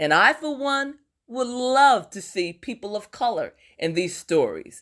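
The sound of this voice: A woman speaks at a fairly slow pace in a medium pitch with big pitch swings and a fairly bright tone, on a very clean recording with a silent background.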